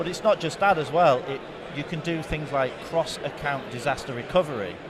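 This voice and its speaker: A man talks at a fairly quick pace with a fairly high pitch. Audible room echo and noticeable background noise surround his voice. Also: ordinary pitch variation. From England. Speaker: tech company product specialist. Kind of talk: conference interview. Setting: conference show floor.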